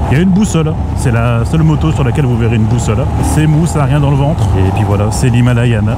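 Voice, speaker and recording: A man's voice sounds dry with no echo, though loud background noise surrounds it. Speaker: motorcycle reviewer. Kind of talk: casual moto vlog commentary. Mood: playful, laughing. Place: motorbike. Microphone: helmet.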